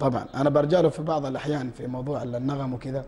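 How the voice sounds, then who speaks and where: Noticeable background noise sits behind a man speaking with a Hejazi accent. His medium-pitched voice is monotone and flat. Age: 20s. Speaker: nasheed singer. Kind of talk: TV interview. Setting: TV studio.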